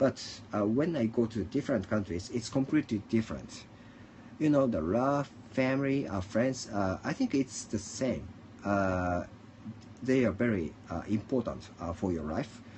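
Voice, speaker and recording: Speaking at a moderate pace with a Japanese accent, a man uses a medium-pitched, somewhat breathy voice. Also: lively intonation. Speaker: livestreamer. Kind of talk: casual monologue. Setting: at home. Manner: halting.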